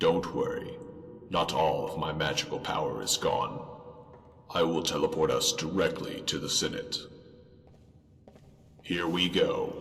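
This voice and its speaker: A put-on character voice speaks at a moderate pace with a clear echo. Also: man. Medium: machinima. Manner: solemn, formal.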